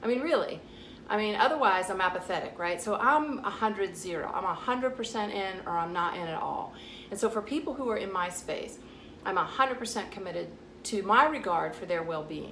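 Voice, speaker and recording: In a Southern US accent, a woman talks at a fairly quick pace with lively intonation. Audible room echo and noticeable background noise surround her voice. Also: medium pitch for a woman. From US South. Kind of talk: vlog monologue. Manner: casual, direct.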